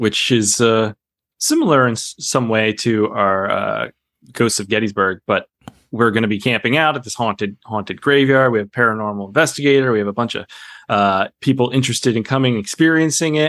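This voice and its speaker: A man with a plain, everyday voice talks at a fairly quick pace. His medium pitch has ordinary pitch variation, in a dry, close sound with no echo. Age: 30s. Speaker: documentary editor. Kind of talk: casual interview.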